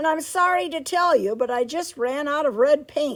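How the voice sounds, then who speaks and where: A woman's put-on character voice, high-pitched with lively intonation, at a moderate pace. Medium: read story.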